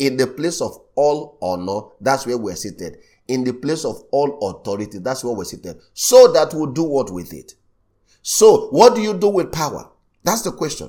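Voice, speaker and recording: A man with a dark, mellow tone and vocal fry speaks at a moderate pace, with very wide pitch swings and big swings in loudness. The recording is very clean, with a silent background. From Nigeria. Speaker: pastor. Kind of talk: sermon.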